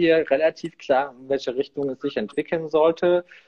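A man with a normal speaking voice talks at a moderate pace in a fairly high pitch. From eastern Germany, near Leipzig. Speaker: innovation consultant. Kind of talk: interview.

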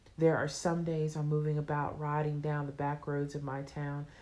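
Audible room echo surrounds a woman whose very deep, low pitch carries a dark, mellow tone. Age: 30s. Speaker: author. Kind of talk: reading aloud.

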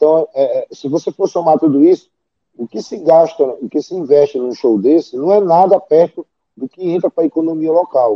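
A man with an ordinary speaking voice talks at a fairly high pitch and a moderate pace with ordinary pitch variation. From Santarém, Pará, northern Brazil. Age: 40s. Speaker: event promoter. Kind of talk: interview.

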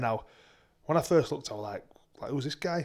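A man is speaking. He has a Yorkshire accent. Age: 30s. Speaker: podcast co-host and semi-pro rugby league player. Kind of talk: casual chat.

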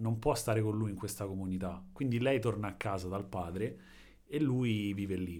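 Audible room echo surrounds a man who speaks at a moderate pace in a fairly low pitch, with ordinary pitch variation. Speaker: podcast co-host. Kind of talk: casual chat. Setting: home in an apartment building.

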